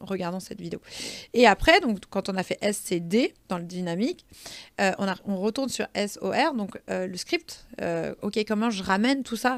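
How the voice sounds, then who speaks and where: In a very clean recording with a silent background, a woman speaks in an animated tone with very wide pitch swings. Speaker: social media trainer and consultant. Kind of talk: podcast interview. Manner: fast.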